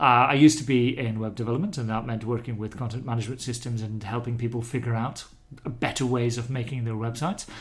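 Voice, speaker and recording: A man with a plain, everyday voice talks at a fairly quick pace and medium pitch, with fairly even intonation and hardly any pauses. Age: middle-aged. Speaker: ebook developer. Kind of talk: casual chat. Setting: home kitchen.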